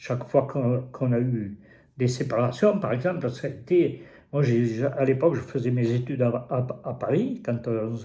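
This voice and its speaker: In a room with audible echo, a man speaks fairly slowly at a medium pitch, his dark, mellow, somewhat breathy voice carrying lively intonation. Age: 80s+. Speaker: interviewee, host's father. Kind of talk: personal testimony. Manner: halting, repeating words.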